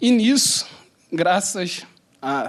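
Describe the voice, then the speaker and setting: A man talks with a Carioca accent and lively intonation. The recording is very clean, with a silent background. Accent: carioca Rio de Janeiro. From Rio de Janeiro city, Brazil. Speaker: panel moderator, lawyer. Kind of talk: panel introduction with personal anecdote. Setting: conference panel with live audience.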